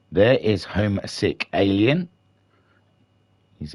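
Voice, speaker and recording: Quiet and fairly low-pitched, a man speaks at a fairly slow pace in a dry, close sound with no echo. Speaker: sim racing commentator. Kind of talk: live commentary. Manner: quiet, keeping voice down; relaxed, not yelling.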